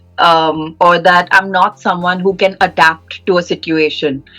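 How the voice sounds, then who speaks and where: The woman's pitch is medium. Music can be heard behind her. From India, Mumbai. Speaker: podcast co-host, MBA student. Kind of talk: casual chat. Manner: animated.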